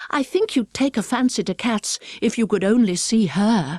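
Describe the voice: The speaker does plain reading aloud. Their pitch varies in an ordinary way.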